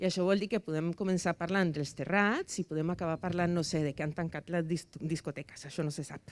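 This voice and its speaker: On a very clean recording with a silent background, a woman with a Spanish accent speaks at a moderate pace and a fairly low pitch, with ordinary pitch variation. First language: Spanish (speaking Catalan). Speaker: debate moderator. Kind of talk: moderating a public debate. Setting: rooftop event with live audience. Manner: hesitant, many fillers.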